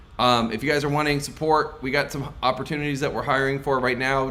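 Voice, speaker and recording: A man talks at a fairly quick pace. The room echo is audible. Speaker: sales coach. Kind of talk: live stream Q&A. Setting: live stream. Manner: wide pitch range, animated; fast.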